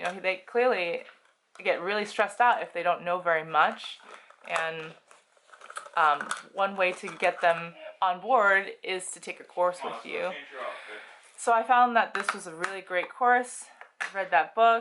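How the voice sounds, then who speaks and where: The delivery is fairly slow, with long, frequent pauses. Loudness swings widely while pitch varies an ordinary amount. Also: woman, medium pitch for a woman. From United States. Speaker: housewife and birth educator. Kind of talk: casual talk to camera. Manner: rambling, stream of consciousness.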